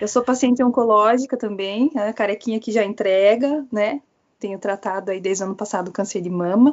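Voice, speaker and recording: This woman speaks with a Paraná accent, her fairly high pitch moving with ordinary variation. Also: fairly quick pace. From Paraná, southern Brazil. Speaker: pharmacist asking a question. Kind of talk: audience question.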